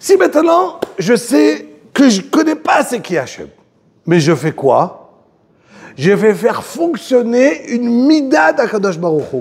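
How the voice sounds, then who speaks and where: A man's voice at a fairly slow pace, with very wide pitch swings. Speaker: religious teacher. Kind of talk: religious lecture. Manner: slow, repetitive.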